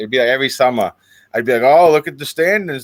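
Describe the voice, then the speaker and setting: A man with a Boston accent and ordinary pitch variation. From Boston, US. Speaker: streamer guest. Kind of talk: casual chat.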